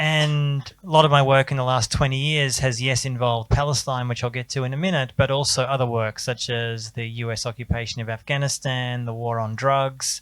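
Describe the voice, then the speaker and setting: Speaking at a moderate pace with an Australian accent, a man holds a medium pitch and fairly even intonation. The recording is very clean, with a silent background. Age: 40s. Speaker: journalist. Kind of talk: panel talk.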